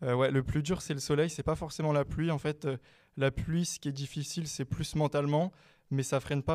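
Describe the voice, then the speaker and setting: A fairly high-pitched man's voice in a flat monotone at a fairly quick pace, in a very clean recording with a silent background. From France, Meaux (Seine-et-Marne). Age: 20s. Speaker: student and cycling adventurer. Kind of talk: interview. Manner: hesitant, many fillers.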